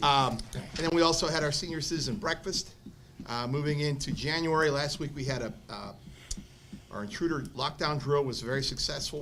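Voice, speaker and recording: A man with a fairly high voice speaks at a fairly quick pace and in a fairly even tone, with audible room echo and noticeable background noise. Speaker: school principal. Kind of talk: school board report. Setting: school board meeting. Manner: halting, many fillers.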